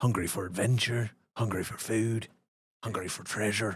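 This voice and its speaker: In a put-on character voice, a man sounds raspy at a medium pitch, with fairly even intonation and a moderate pace. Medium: actual play. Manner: folksy, drawling.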